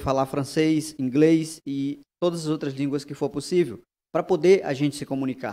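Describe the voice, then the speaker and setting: A dark, mellow tone with fairly even intonation in a Brazilian accent, over a quiet background. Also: man. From Brazilian Amazon, Acre. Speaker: guest. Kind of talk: panel discussion after film screening. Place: hall. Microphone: podium.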